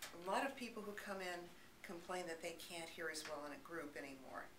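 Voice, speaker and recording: Over noticeable background noise, a woman speaks in a calm tone with ordinary pitch variation. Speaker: audiologist. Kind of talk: explanatory talk to camera. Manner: calm, reassuring, conversational.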